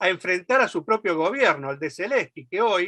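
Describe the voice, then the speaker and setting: Fairly quick and high-pitched, a man speaks in a bright, sharp tone with a dry, close sound and no echo. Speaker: left-wing political activist. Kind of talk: political speech at a meeting. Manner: fast.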